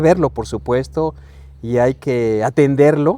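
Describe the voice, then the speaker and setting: Speaking at a fairly slow pace, a man with a medium-pitched voice has a dark, mellow tone. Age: 60s. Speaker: podcast guest. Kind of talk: casual chat. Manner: halting.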